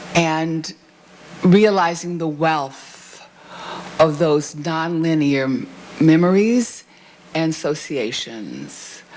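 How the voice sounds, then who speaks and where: A woman speaks very slowly in a very deep, low voice, with ordinary pitch variation and long, frequent pauses. Room echo is audible, and background noise is noticeable. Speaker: discussant at a university book event. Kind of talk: panel discussion. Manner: animated.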